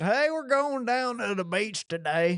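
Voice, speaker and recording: This put-on character voice drawls in a Southern accent. It sits fairly high in pitch and moves at a fairly slow pace. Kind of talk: casual.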